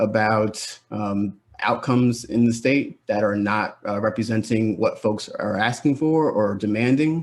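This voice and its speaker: Here is an unremarkable speaking voice from a man with an American accent and a medium pitch. He keeps a moderate pace and fairly even intonation. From New Jersey. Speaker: advocate speaker. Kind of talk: speech at online event.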